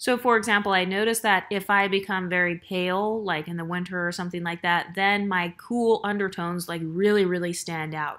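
A woman talks at a fairly quick pace in a plain, everyday voice, with fairly even intonation. The recording is very clean, with a silent background. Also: medium pitch for a woman. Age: 30s. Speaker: YouTuber. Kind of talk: vlog monologue. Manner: casual, conversational.

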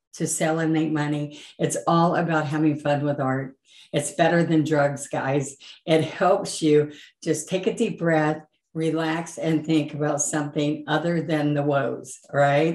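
In audible room echo, a woman with a very deep, low pitch talks at a fairly slow pace in monotone, flat intonation. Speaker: painting instructor. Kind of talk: channel intro talk to viewers. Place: home room.

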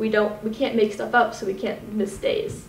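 A woman speaks fairly quickly with audible room echo and light background noise. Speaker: presenter. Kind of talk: class presentation. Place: classroom. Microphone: camera far.

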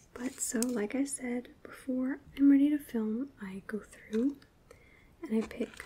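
A soft-spoken voice comes through over light background noise. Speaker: beauty content creator. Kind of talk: casual tutorial chat. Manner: soft-spoken, hushed ASMR narration.

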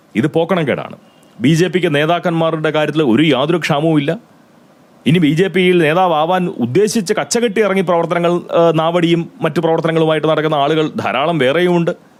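A man speaks in a high pitch. His loudness stays very even. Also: fairly even intonation. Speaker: political commentator. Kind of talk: political commentary monologue.

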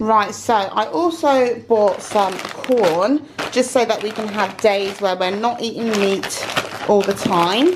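Against noticeable background noise, a woman talks at a fairly slow pace. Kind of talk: casual vlog chat. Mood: relaxed, chatty. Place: home room. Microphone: phone near.

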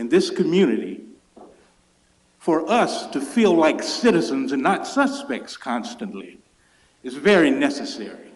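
A man with a high pitch and an American accent speaks at a fairly slow pace, his voice swinging very widely in pitch amid audible room echo. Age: 60s. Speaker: public commenter. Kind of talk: public comment at council meeting. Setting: city council chamber.

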